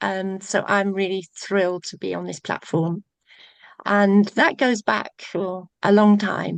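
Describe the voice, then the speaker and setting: A woman with an English accent speaks at a very slow pace and medium pitch, her intonation fairly even and her loudness swinging widely, in a dry, close sound with no echo against a quiet background. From England (Kent, Lincoln). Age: 70s. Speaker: women's empowerment speaker. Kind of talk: personal life story on podcast.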